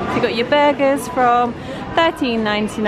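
With music in the background, a woman speaks at a fairly slow pace. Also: dry sound with no echo. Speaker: tourist vlogger. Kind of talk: casual vlog commentary. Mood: amused, light. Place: cafe. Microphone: phone near.

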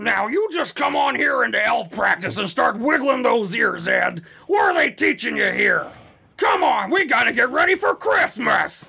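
Shouting in a put-on character voice, a man speaks at a moderate pace with an extremely high pitch. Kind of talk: character voice impression. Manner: bossy, scolding, brisk.

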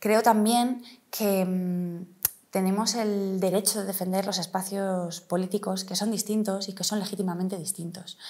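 Her intonation is monotone and flat. The woman keeps a medium pitch and a moderate pace. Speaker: politician, city councillor and mayoral candidate; politician, city councillor, candidate. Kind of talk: interview. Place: office. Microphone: lapel.

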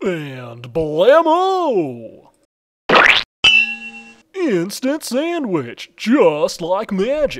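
A man does a cartoonish character voice at a high pitch with very wide pitch swings. He goes at a very slow pace with long, frequent pauses. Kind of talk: TV commercial read. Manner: upbeat.

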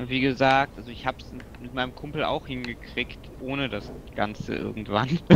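A man speaks in a plain, everyday voice at medium pitch. His intonation is fairly even and his pace moderate. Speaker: video game player. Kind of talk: casual chat while gaming co-op. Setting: video call or online voice chat while playing.

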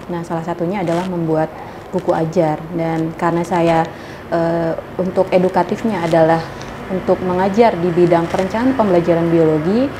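A woman at a moderate pace, fairly low in pitch, with fairly even intonation and noticeable background noise. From Indonesia, Lampung; Indonesia. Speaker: university lecturer. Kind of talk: interview. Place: studio.

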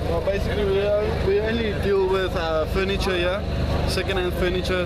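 Loud background noise runs under the speech. The pace is moderate and the sound is dry, with no echo. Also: man. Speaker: market stall seller. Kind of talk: interview answer. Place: market. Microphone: camera far.

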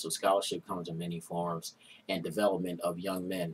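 A man with an American accent at a fairly quick pace over light background noise. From West Philadelphia; Philadelphia. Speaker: internal auditor, fraternity foundation treasurer; interview guest. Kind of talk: interview. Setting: studio. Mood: relaxed, warm. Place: studio.

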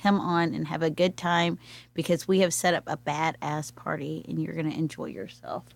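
A woman speaks at a moderate pace with a very deep, low pitch and vocal fry. Her pitch varies in an ordinary way, on a very clean recording with a silent background. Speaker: arts event organizer. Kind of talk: casual chat. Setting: studio.

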